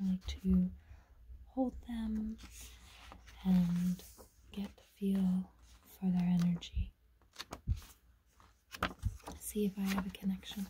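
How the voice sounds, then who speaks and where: Someone whispers soft-spoken words at a very slow pace, leaving long, frequent pauses over noticeable background noise. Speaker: tarot deck reviewer. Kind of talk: casual unboxing narration, reading aloud. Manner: soft ASMR whisper. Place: home room. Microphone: phone near.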